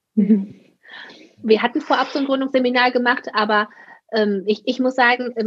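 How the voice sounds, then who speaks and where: With a high pitch, a woman speaks at a moderate pace. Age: 30s. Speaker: occupational therapist and practice owner. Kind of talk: casual interview.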